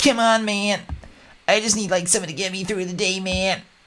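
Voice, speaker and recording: This is a put-on character voice pitched in the middle range. It moves at a moderate pace. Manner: pleading.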